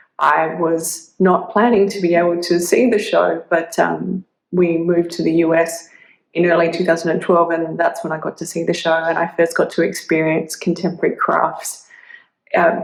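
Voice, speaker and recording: A fairly low-pitched woman in an Australian accent, monotone and flat in intonation, at a moderate pace. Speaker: artist. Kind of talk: prerecorded video statement. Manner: hesitant, many fillers.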